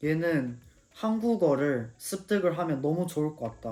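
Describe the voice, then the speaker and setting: Here a man speaks with a fairly high pitch and lively intonation. His tone is dark and mellow. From South Korea (Pyeongtaek area). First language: English (speaking Korean). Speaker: YouTuber. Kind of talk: casual storytelling. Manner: halting, frequent self-corrections.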